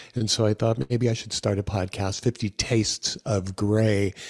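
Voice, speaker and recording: A man with a normal speaking voice talks at a fairly slow pace, with a fairly low pitch and fairly even intonation. The sound is dry and close with no echo, on a very clean recording with a silent background. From New York and Los Angeles. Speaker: chef and health coach. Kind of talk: interview podcast.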